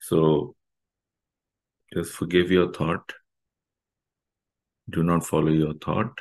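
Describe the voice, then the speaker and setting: A very slow man's voice, very deep and low, with fairly even intonation against a quiet background. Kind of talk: guided meditation instruction. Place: home room. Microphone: webcam.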